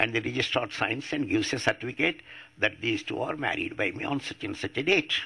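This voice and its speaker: A man with an Indian accent talks at a very fast pace. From India, Andhra Pradesh. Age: 80s+. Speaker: atheist activist. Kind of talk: public talk.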